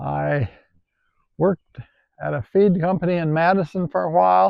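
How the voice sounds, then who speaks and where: A man with an Upper Midwest accent talks at a moderate pace. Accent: Upper Midwest rural. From Wisconsin, rural southwest. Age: 80s. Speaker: retired farmer and tractor collector. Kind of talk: casual interview reminiscence. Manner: halting.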